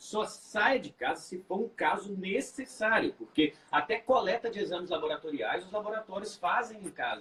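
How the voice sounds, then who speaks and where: The intonation is lively. There are hardly any pauses. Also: man, high pitch for a man. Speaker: obstetrician. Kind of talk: live stream talk. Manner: fast.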